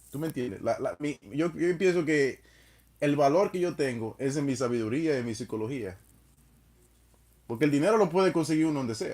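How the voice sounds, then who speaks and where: A man with a Spanish accent and a fairly high pitch talks at a fairly quick pace, broken by long, frequent pauses. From Dominican Republic. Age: 30s. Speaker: live streamer. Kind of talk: casual chat.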